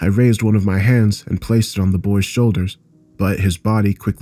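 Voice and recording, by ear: Someone reads aloud in a natural voice, keeping the intonation fairly even.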